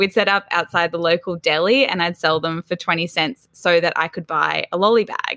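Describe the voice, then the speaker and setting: The speaker has an Australian accent and ordinary pitch variation. The pace is moderate, with hardly any pauses. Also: woman, fairly low pitch for a woman. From Australia, Sydney's Northern Beaches. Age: 20s. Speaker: entrepreneur, founder of a collaboration platform. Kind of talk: casual interview chat.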